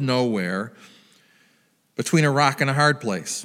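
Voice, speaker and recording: The man has an ordinary speaking voice, fairly high in pitch with ordinary pitch variation, at a fairly slow pace. The recording is very clean with a silent background. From US Midwest. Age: 60s. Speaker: pastor. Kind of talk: sermon.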